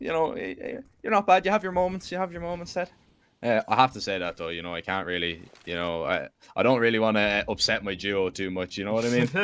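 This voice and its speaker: In a very clean recording with a silent background, a man with an Irish accent talks at a very fast pace, his medium-pitched voice making very wide pitch swings. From Ireland. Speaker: esports commentator. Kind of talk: live commentary; casual chat.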